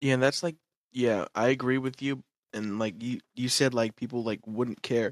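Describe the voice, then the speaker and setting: A man with a plain, everyday voice speaks at a moderate pace and medium pitch. His intonation is fairly even, and the sound is dry and close with no echo. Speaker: podcast guest. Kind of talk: casual chat.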